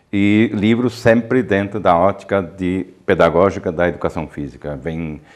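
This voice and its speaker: Against a quiet background, a man with a fairly low pitch speaks at a fairly slow pace with lively intonation. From southern Brazil, Ijuí (Rio Grande do Sul). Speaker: professor and researcher in physical education. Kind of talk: interview. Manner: halting, with many fillers.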